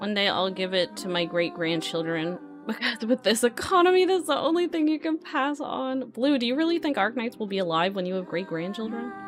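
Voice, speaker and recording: Over background music, a woman with a fairly high pitch talks at a fairly quick pace with hardly any pauses and very wide pitch swings. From Canada. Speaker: streamer, 3D artist. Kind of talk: casual livestream chat while modeling.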